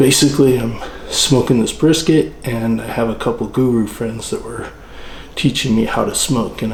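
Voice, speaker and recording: Male speech amid noticeable background noise, with audible room echo. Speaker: channel host, home barbecue cook. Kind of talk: tutorial. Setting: at home, early morning by the smoker. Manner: whispering.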